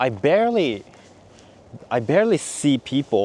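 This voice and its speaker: The intonation is lively. It comes with a Japanese accent. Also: man. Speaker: vlogger. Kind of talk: casual chat. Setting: outdoors. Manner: halting.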